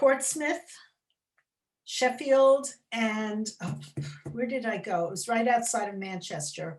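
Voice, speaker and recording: Very slow, with long, frequent pauses, a woman with a New York accent speaks at a fairly high pitch with lively intonation and big swings in loudness. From US, New York City. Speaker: children's author. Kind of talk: interview chat. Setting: library event. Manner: animated.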